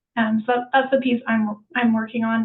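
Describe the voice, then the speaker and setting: The delivery is monotone, with flat intonation. The pace is fairly quick. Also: woman. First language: French. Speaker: housing design researcher. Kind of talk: webinar Q&A panel.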